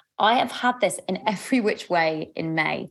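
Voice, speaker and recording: With a London accent, a woman talks at a medium pitch with ordinary pitch variation. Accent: southern English (London). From London, England. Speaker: love coach and podcast host. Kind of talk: live group coaching session. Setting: video call. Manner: warm, animated and chatty.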